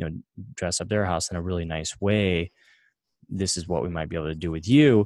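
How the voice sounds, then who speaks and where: A man's very deep, low voice with ordinary pitch variation, in a very clean recording with a silent background and a dry, close sound free of echo. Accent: American. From small-town US. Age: 20s. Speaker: software entrepreneur. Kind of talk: interview conversation.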